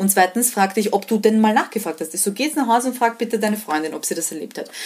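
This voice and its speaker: Amid noticeable background noise, a woman talks very fast with ordinary pitch variation. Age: 20s. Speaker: freelance journalist. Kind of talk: interview. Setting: video call.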